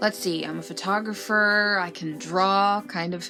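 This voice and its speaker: A woman with a bright, sharp tone talks at a fairly slow pace with fairly even intonation. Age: 30s. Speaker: comedic youtuber and voiceover artist. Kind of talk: casual vlog monologue. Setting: lying in bed at home. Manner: occasionally stumbling over words.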